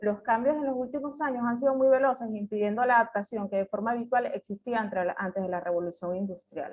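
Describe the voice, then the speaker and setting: With a Venezuelan accent, a woman talks very fast at a fairly high pitch, hardly pausing at all. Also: ordinary pitch variation. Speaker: agronomist, climate adaptation specialist. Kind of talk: conference talk. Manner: hesitant, many fillers.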